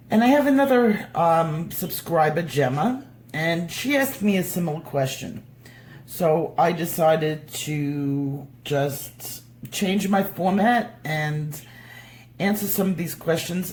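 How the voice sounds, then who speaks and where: In a fairly low pitch, a somewhat breathy woman talks at a very slow pace with lively intonation, and audible room echo is present. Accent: New York. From New York. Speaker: coloring tutorial YouTuber. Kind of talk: tutorial. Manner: casual, hesitant with many fillers.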